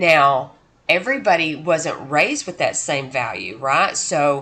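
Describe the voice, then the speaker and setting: There is audible room echo around a woman's voice. Very deep and low in pitch with a bright, sharp tone, she speaks at a fairly slow pace. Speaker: college instructor. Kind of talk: lecture. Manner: casual with many fillers.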